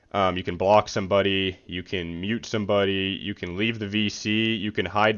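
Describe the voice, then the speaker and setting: With flat, monotone intonation, a man talks at a fairly quick pace in a fairly low pitch. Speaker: gamer vlogger. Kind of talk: unscripted commentary vlog. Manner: fast; casual, filler-heavy.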